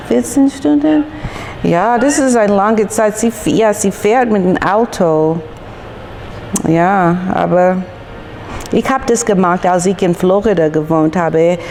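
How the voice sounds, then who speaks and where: A woman with an English accent speaks at medium pitch, very slowly, with long, frequent pauses and lively intonation. Her loudness stays very even over noticeable background noise. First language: English (speaking German). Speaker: YouTuber. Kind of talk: casual vlog chat. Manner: halting, hesitant.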